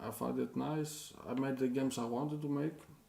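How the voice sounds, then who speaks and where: Audible echo from the room surrounds a man talking with a non-native accent. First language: not English. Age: 40s. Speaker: indie game developer and streamer. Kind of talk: live stream chat with viewers. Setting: live stream. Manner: halting, many hesitations and repeats. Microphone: poor microphone.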